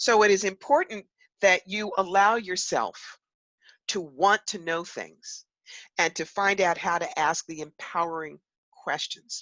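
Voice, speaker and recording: In a New York accent, a woman speaks in an animated tone with ordinary pitch variation and big swings in loudness, the sound dry and close with no echo. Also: medium pitch for a woman, fairly slow pace. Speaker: psychic medium and author. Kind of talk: interview.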